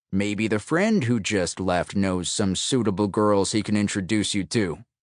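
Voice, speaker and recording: In a gruff, growling put-on character voice, a man with a fairly low pitch talks at a moderate pace, with ordinary pitch variation and very even loudness. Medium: read story.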